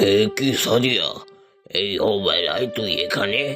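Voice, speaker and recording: A man uses a cartoonish character voice at medium pitch and a moderate pace, with faint music in the background. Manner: paternal, plain-spoken.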